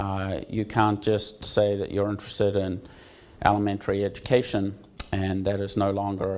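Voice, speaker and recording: Speaking with a New Zealand accent, the voice moves at a fairly slow pace with monotone, flat intonation and audible room echo. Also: man. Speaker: university associate dean. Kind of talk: conference talk. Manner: many filler words (um, uh).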